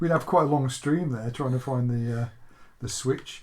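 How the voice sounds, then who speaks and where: Someone speaks at a moderate pace with an English accent. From England. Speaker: retro gaming YouTuber. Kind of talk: gameplay commentary. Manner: casual, chatty.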